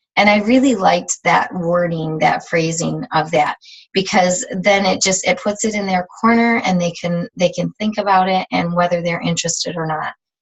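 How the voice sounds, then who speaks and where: At medium pitch and a moderate pace, a woman speaks somewhat breathily with ordinary pitch variation and hardly any pauses. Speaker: fitness team leader. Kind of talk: team training call. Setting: video call.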